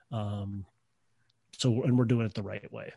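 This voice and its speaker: A man speaks at a moderate pace and medium pitch in a dark, mellow, somewhat breathy tone with ordinary pitch variation, the sound dry and close with no echo against a quiet background. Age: 30s. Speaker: real estate investor, former shop teacher. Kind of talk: interview.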